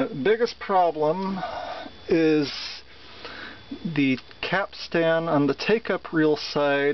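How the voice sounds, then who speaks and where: A man talks at a very slow pace in a high voice with ordinary pitch variation. The sound is dry with no echo, over light background noise. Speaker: seller demonstrating an item. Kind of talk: product demonstration. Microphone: phone near.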